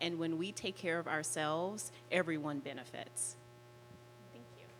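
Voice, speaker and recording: A woman's very deep, low voice with an American accent, big swings in loudness, a moderate pace and ordinary pitch variation. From Las Vegas, Nevada. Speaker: life and relationship coach. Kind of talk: panel self-introduction.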